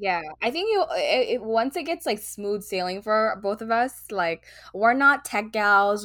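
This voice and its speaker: A woman talks at a moderate pace with a medium pitch. She has an unremarkable speaking voice. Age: 20s. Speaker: podcast co-host. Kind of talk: casual chat.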